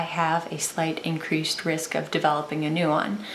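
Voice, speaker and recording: A woman's speech carries audible room echo, with noticeable background noise behind it. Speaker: vlogger. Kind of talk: personal vlog testimony. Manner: occasional stutter, halting; slower speech.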